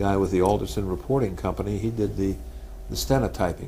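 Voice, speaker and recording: A man with an American accent talks at a very fast pace in a very deep, low voice with vocal fry and very wide pitch swings, with audible room echo around him. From New York, Staten Island. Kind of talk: oral history interview. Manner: halting, many false starts.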